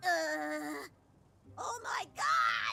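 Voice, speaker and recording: A woman uses a put-on character voice. Her pitch swings very widely. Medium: video game. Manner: chirpy, overlapping.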